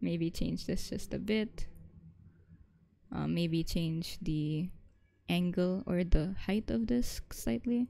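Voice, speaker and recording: A woman talks at a very slow pace, leaving long, frequent pauses. Her intonation is lively and her tone dark and mellow. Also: fairly low pitch for a woman. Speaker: art teacher. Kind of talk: live drawing tutorial. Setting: online class stream. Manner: casual, filler-heavy; stuttering at times.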